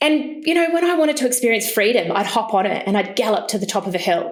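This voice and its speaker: A woman with a New Zealand accent and lively intonation, plus audible room echo. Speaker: entrepreneur, business founder. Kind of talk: storytelling in podcast interview.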